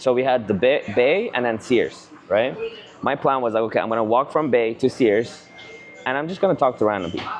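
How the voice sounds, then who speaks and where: Over background music, a man with a medium-pitched voice talks at a fairly quick pace with ordinary pitch variation. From Canada (immigrated as a teen). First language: not English. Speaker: real estate agent, vlogger. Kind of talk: casual chat. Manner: animated.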